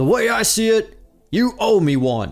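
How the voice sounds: A man's put-on character voice, high in pitch, with big pitch swings and a fairly slow pace, on a very clean recording with a silent background and faint music in the background.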